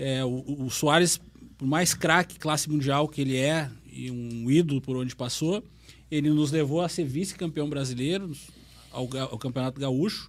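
This man has an ordinary speaking voice pitched fairly high. He uses ordinary pitch variation at a moderate pace. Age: 40s. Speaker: football pundit. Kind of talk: casual sports discussion. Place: studio. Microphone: studio mic.

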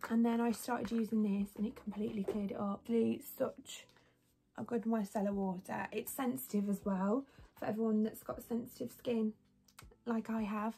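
A woman speaks at a moderate pace and fairly high pitch, her tone dark and mellow, somewhat breathy, with fairly even intonation. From West Midlands, England (near Birmingham). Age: 20s. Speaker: lifestyle and beauty vlogger. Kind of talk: casual vlog tutorial. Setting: home bedroom. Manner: chatty, rambling. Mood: relaxed, chatty. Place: home room. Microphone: phone near.

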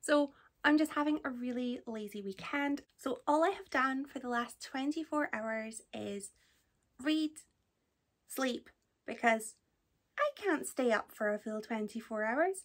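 A woman speaks at a fairly slow pace in a high voice, with ordinary pitch variation.

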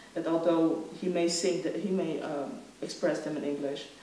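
Audible room echo and light background noise surround a woman whose very deep, low pitch moves in a fairly even intonation. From Congo, raised in the Netherlands. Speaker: philosopher and author. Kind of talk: lecture. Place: stage. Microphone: podium.

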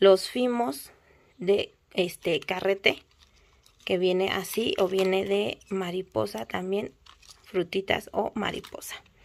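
At a very slow pace, a woman talks with ordinary pitch variation. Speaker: nail supply shop owner; shop seller showing stock. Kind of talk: product showcase video; casual product showcase. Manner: casual, filler-heavy. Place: shop. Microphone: phone near.

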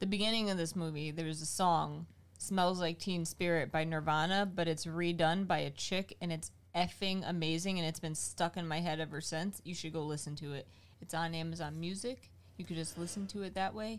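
The pitch varies in an ordinary way. The pace is fairly quick. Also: woman, fairly low pitch for a woman. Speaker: streamer. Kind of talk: casual chat. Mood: relaxed, enthusiastic. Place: home room. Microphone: studio mic.

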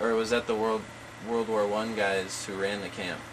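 A man at a moderate pace over noticeable background noise. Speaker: oral history interviewer. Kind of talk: oral history interview. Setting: in person at a museum.

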